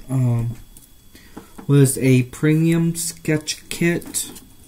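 A man's fairly high, somewhat breathy voice with a dark, mellow tone, at a very slow pace over light background noise. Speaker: vlogger. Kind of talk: casual talk to camera. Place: home room. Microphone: webcam.

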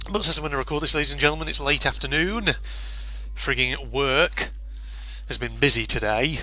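A man with a British accent, music in the background. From UK. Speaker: gaming YouTuber. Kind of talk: gameplay commentary. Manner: animated.

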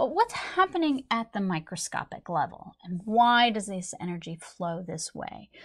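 Against a quiet background, a woman is talking. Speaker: instructor. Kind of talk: lecture. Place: studio.

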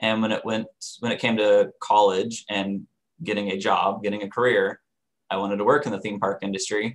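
This man has a plain, everyday voice, fairly low in pitch, moving at a fairly quick pace over a quiet background. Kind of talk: interview answer. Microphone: webcam.

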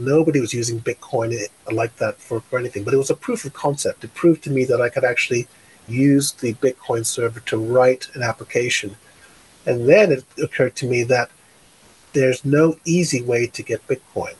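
The voice is somewhat breathy, with an American accent. It moves at a fairly quick pace. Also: man, medium pitch for a man, ordinary pitch variation. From New York, Brooklyn; New York. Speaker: tech company founder; guest. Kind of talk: interview. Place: home room. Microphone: studio mic.

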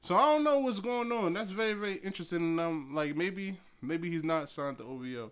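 With an American accent, a man talks at a fairly quick pace in an animated tone with lively intonation. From New Jersey. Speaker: podcast host, hip-hop commentator. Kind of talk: casual solo commentary. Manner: animated, rambling with fillers. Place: home room. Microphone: phone near.

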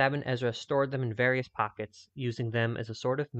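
Plain reading aloud with fairly even intonation fills the clip.

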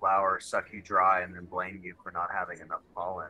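A man talks in a bright, sharp tone. Light background noise can be heard. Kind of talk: casual group discussion. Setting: video call. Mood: wry, frustrated. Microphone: video call.

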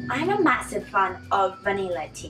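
Faint music plays in the background. A woman speaks with a non-native accent. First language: not English. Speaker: vlogger. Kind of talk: casual talk to camera. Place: home room. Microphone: camera far.

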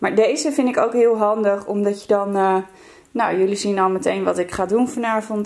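A woman's medium-pitched voice with a slightly mellow tone, ordinary pitch variation and a moderate pace.

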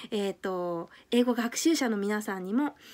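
Speaking at a moderate pace, a woman has a fairly high pitch with ordinary pitch variation. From Japan. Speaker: YouTuber and English teacher; language learning vlogger. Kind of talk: vlog monologue. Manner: hesitant, many fillers. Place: home room. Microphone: phone near.

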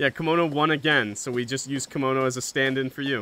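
Fairly high male voice amid noticeable background noise. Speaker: gaming streamer. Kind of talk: live stream gameplay chat. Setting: live stream with game audio and co-players.

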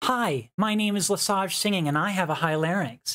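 A female-sounding, put-on character voice, raspy and medium-pitched, moves at a fairly quick pace over a very clean recording with a silent background. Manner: demonstrating a vocal technique.

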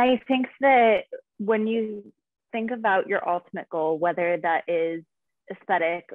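A woman talks at a fairly slow pace with ordinary pitch variation. The background is quiet and the sound is dry, with no echo. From US West, Nevada. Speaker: fitness and nutrition coach; nutrition coach. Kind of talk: casual interview. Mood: calm, informative. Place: home room. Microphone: video call.

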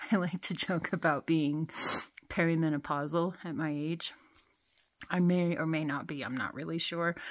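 A moderate pace from a woman's voice. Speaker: parent vlogger. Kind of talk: casual vlog chat. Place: tunnel cave. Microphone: phone near.

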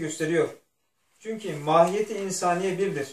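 Heard with audible room echo, a man with a high pitch talks in fairly even intonation. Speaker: religious text reader. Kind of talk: reading aloud from a religious text. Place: home room. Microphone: camera far.

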